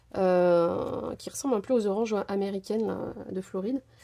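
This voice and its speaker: A woman speaks at medium pitch in a dark, mellow tone. Her pitch varies in an ordinary way. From France, Portuguese family. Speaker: crafting youtuber. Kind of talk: tutorial. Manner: casual, hesitant with many fillers.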